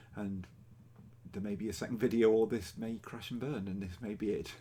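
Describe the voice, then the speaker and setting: A man with an English accent, fairly low pitch and a dark, mellow tone, at a moderate pace. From England. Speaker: cross-stitch vlogger. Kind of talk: casual vlog. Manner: hesitant with fillers.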